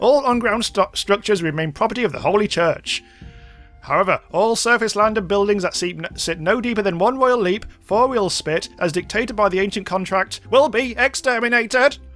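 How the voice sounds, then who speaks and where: Over faint music in the background, a man uses a robotic, put-on character voice at a high pitch and moderate pace. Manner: harsh, commanding.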